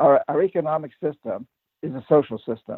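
A man's fairly high voice, an ordinary speaking voice with an American accent, at a fairly quick pace. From New Hampshire, US. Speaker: author and activist. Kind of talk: interview.

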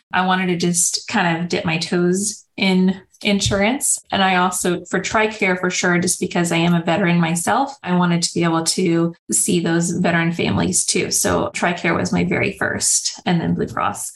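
Somewhat breathy and fairly low in pitch, a woman speaks at a moderate pace with very even loudness, fairly even intonation and hardly any pauses. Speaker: speech therapist. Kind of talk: interview.

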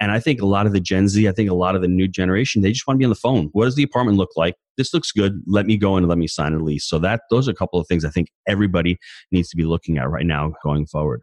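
A man's very deep, low voice with an American accent at a very fast pace, with lively intonation and very even loudness, dry and close with no echo over a quiet background. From New York. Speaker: real estate investor and coach. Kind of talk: interview.

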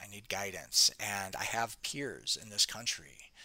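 A man with an American accent speaks at a fairly low pitch in a bright, sharp tone. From US Midwest, Detroit. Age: 40s. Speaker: farmer and podcast host. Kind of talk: interview storytelling. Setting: remote call from his farm.

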